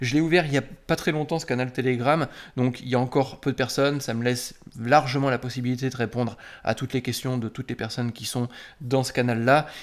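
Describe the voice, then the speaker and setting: Fairly even intonation carries a very fast pace of speech over a quiet background. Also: man. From France. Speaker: software developer and YouTuber; YouTuber. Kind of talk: casual direct-to-camera talk. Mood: indignant, ironic. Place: home room.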